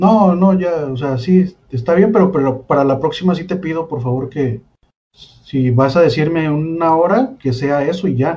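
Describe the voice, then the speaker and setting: A man speaks with a Mexican accent in a fairly high pitch. His pace is fairly slow. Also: ordinary pitch variation. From Mexico, Colima. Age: 20s. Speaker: comedian. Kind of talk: casual chat.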